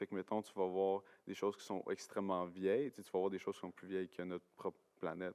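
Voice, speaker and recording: A man's very deep, low voice at a very fast pace, monotone and flat, with big swings in loudness and a dry, close sound with no echo. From Quebec, Gatineau (Outaouais). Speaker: university science student, podcast guest. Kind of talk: casual chat. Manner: hesitant, many fillers and repetitions.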